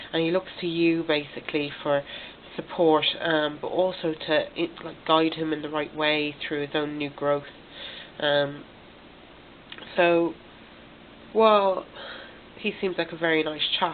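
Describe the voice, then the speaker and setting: Over noticeable background noise, a woman with a very deep, low pitch speaks at a fairly slow pace in a monotone, flat intonation, leaving long, frequent pauses. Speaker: tarot reader. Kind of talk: tarot reading to camera. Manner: hesitant, many fillers.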